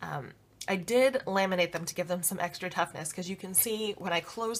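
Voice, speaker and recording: A woman talks fairly quickly, her pitch varying in an ordinary way. There is noticeable noise in the background. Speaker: planner and business blogger. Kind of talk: casual talk to camera, tutorial walkthrough. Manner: casual, many filler words.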